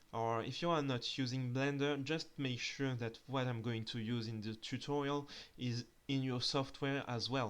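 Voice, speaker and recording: At a fairly slow pace, a man speaks with a strong French accent. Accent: thick French. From France. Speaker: 3D artist and tutorial creator. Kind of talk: tutorial. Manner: hesitant, with filler sounds.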